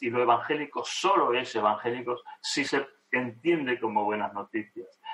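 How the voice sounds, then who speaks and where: A man with a plain, everyday voice, medium pitch and a fairly slow pace. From Argentina. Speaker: theology professor. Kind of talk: interview conversation.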